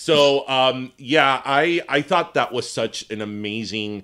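Bright and sharp in tone, an American-accented voice moves at a very slow pace with ordinary pitch variation. The recording is very clean, with a silent background. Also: man. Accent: Miami Cuban American English. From Miami, Florida, Cuban American. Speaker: podcast co-host. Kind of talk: casual interview. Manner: nervous giggling.

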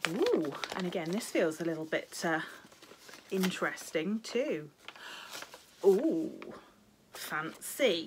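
Lively intonation marks a woman speaking at a very slow pace with long, frequent pauses over noticeable background noise. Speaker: cross-stitch video blogger. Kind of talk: casual chat. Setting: home video recording. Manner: chatty, rambling. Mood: pleased, curious. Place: home room. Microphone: phone near.

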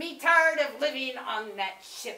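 A female-sounding voice puts on a high-pitched, cartoonish character voice at a fairly slow pace. There is slight echo. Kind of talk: puppet show character monologue. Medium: puppet show. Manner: blustery, comic.

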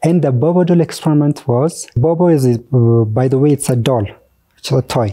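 At a moderate pace, a man speaks with a dark, mellow tone and a fairly high pitch, his pitch moving in an ordinary way against a quiet background. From Ethiopia, Borana/Moyale border region; Ethiopia. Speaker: teacher, school counselor and artist; teacher. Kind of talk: interview. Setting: studio. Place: studio. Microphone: lapel.

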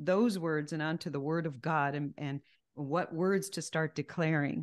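A woman's fairly low voice at a fairly slow pace, with ordinary pitch variation, against a quiet background. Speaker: Bible teacher. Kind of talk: sermon. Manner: animated. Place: home room. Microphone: studio mic.

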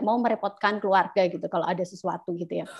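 A woman keeps her intonation fairly even while the background stays quiet. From Indonesia (East Java). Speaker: scholarship alumna speaker; speaker. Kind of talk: presentation. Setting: video call. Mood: friendly, relaxed. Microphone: video call.

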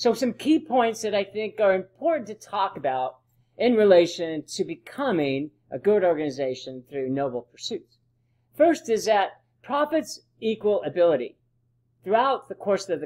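With very wide pitch swings, the voice moves at a moderate pace against a quiet background. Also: man, high pitch for a man. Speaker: presenter. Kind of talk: lecture. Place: home room. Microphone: webcam.

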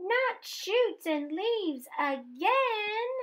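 This is a put-on character voice. The pitch sits extremely high. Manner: playful.

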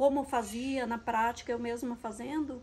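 Speaking at a fairly slow pace, a woman with a high pitch keeps her intonation fairly even over light background noise. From Paraná, southern Brazil (Cascavel). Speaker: plant and decoration vlogger. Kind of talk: emotional personal vlog. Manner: halting. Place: garden. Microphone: phone near.

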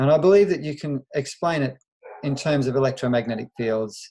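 A man speaks at a fairly quick pace in a dark, mellow tone. His pitch is medium with ordinary pitch variation. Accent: Australian. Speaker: veterinarian. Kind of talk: interview.

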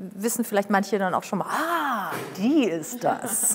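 Fairly high pitch and ordinary pitch variation in a woman's voice. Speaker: TV presenter and voice-over speaker; TV presenter, speaker. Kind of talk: casual chat. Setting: studio. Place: studio. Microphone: lapel.

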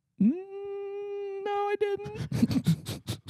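An extremely high, squeaky, put-on character voice

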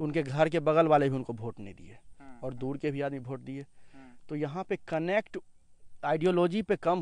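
A man with a plain, everyday voice speaks at a moderate pace, fairly high-pitched, with ordinary pitch variation and a dry sound with no echo. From Bihar. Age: young. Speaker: local student; interviewee. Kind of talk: interview. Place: waterside. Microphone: handheld.

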